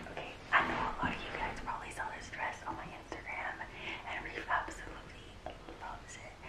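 Whispered speech from a woman. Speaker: vlogger. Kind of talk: casual vlog chat. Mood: excited, playful. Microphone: phone near.

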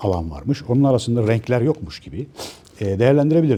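Talking at a very fast pace, a man with a medium-pitched voice swings very widely in pitch. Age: 50s. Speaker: author and commentator. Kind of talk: monologue to camera. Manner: hesitant, many filler sounds.

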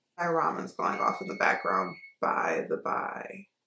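Audible room echo surrounds a woman's voice. Light background noise is also present. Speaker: beauty vlogger. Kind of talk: casual vlog chat. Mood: relaxed, chatty. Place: home room. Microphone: phone near.

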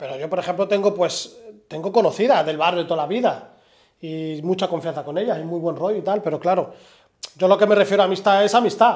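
A man's high voice at a fairly quick pace, with fairly even intonation and a quiet background. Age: 30s. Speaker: podcast host. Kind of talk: interview conversation; conversational podcast chat. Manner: halting. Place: studio.

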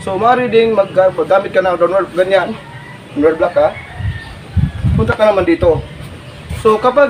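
A man's speech, with ordinary pitch variation, proceeds at a moderate speed while noticeable background noise runs underneath. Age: 40s. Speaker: martial arts instructor. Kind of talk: tutorial. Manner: animated.

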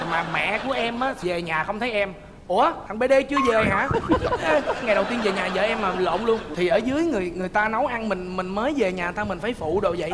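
A man speaks with ordinary pitch variation. Loud background noise fills the recording. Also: moderate pace. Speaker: talk show guest. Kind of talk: interview answer, storytelling. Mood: lively, humorous storytelling. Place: studio.

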